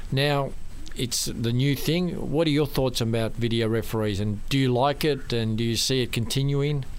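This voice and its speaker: A man talks in a normal speaking voice at a moderate pace. His medium pitch shows ordinary variation, and his loudness stays very even. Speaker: radio host. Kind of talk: radio interview.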